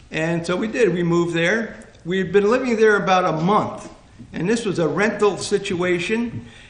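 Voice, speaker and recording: With an American accent and a high pitch, a man talks at a moderate pace amid audible room echo and noticeable background noise. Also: ordinary pitch variation. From New Jersey, Hope Lawn area. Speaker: panel guest sharing local history. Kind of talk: reminiscing talk to audience. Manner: halting, many fillers.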